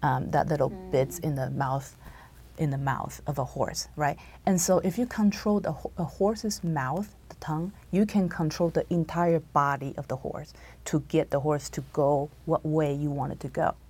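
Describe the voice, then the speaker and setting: A woman with a very deep, low pitch and a dark, mellow tone speaks at a moderate pace with vocal fry and ordinary pitch variation. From Taiwan. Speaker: church member guest. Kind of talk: religious study discussion. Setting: studio.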